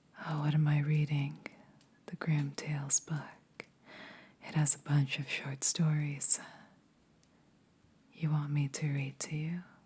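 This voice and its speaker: Her voice is very deep and low, somewhat breathy, with monotone, flat intonation and big swings in loudness. This woman speaks at a fairly slow pace with long, frequent pauses. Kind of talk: ASMR roleplay. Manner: caring, comforting.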